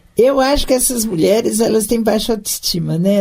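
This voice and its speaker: Her tone is dark and mellow, somewhat breathy, as this woman speaks with lively intonation. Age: 60s. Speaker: former city councillor and municipal secretary. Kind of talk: interview.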